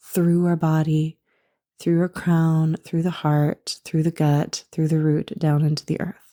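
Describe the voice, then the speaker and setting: In a dark, mellow tone, a woman speaks fairly low and at a fairly slow pace. Her intonation is monotone and flat, and the sound is dry and close with no echo. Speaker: spiritual coach and podcast host. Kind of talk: spiritual podcast talk.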